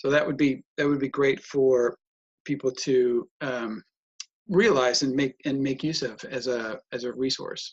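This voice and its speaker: A man with an American accent, medium pitch, and a normal speaking voice, at a fairly slow pace, in a dry, close sound with no echo. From United States. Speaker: personal development trainer and author. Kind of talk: casual interview conversation.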